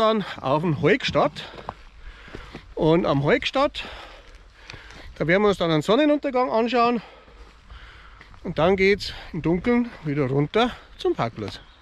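With a high pitch and very wide pitch swings, a man speaks at a very slow pace in a dry sound with no echo. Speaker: hiking vlogger. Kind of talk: casual vlog chat. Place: forest. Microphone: phone near.

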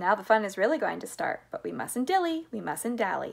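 A woman puts on a character voice at a medium pitch, talking at a fairly quick pace with big pitch swings and vocal fry.

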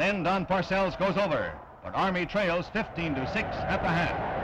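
The man's voice is high-pitched and moves at a moderate pace. Noticeable background noise is present. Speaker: newsreel narrator. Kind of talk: newsreel sports narration.

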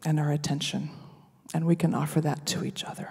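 A woman speaks in a flat monotone, her voice dark, mellow and somewhat breathy. The background is quiet. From US Midwest, Nebraska. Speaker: worship reflection speaker, singer; speaker. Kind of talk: sermon-style reflection. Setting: worship service. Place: hall. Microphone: handheld.

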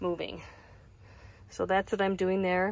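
A woman talks at a fairly slow pace in a dry sound with no echo, against noticeable background noise. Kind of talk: tutorial. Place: car. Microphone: phone near.

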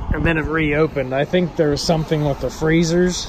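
A man is heard in a dry sound with no echo over light background noise. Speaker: local vlogger. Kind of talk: casual vlog chat. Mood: relaxed, amused. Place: street. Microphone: phone near.

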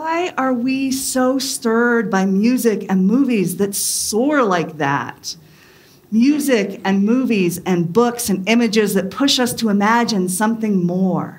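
A woman speaks with lively intonation. Her pace is very slow. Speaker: pastor. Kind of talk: sermon. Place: church.

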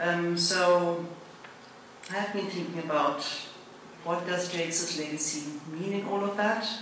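Fairly slow speech with fairly even intonation comes through strong room echo and light background noise. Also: woman, fairly low pitch for a woman. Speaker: school director, event host. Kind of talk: ceremony hosting. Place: hall. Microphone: podium.

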